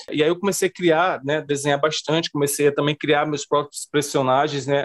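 A man with a plain, everyday voice talks at a fairly quick pace, his pitch fairly high and his intonation fairly even. The sound is dry and close, with no echo. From Brazilian Northeast. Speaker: comic book artist. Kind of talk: interview.

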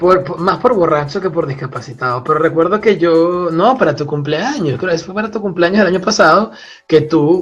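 A man with a Venezuelan accent speaks at a moderate pace in a high voice with ordinary pitch variation. Music plays in the background. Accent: Venezuelan, drops final s. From Venezuela, Puerto la Cruz (eastern coast). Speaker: seismology PhD student. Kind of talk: casual chat.

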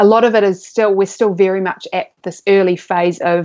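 With a New Zealand accent, a woman speaks at a medium pitch. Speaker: neuroscientist. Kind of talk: interview.

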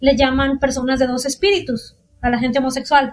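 A woman's voice with a high pitch. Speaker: podcast host. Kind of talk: casual chat.

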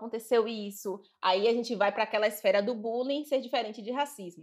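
A woman speaks very fast at a fairly high pitch. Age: 30s. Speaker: diversity consultant. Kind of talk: interview.

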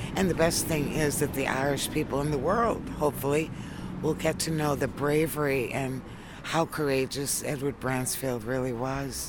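This woman has a very deep, low pitch and a New England accent. Noticeable background noise and audible room echo fill the recording. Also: ordinary pitch variation, moderate pace. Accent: New England American. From US, Worcester, Massachusetts. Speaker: tour organiser and explorer's relative. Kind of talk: outdoor interview.

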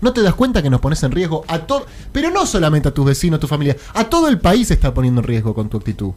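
A very fast delivery, pitch leaping very widely, background music underneath. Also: man. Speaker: radio host. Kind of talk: radio talk show. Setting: studio.

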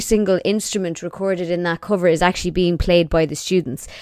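A woman with an Irish accent speaks with ordinary pitch variation. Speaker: YouTuber and podcaster. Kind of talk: casual chat.

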